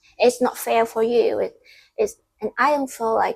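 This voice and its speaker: A non-native accent colors the speech. Delivery is fairly slow. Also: woman. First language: Vietnamese. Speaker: content creator. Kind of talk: casual vlog monologue. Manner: halting.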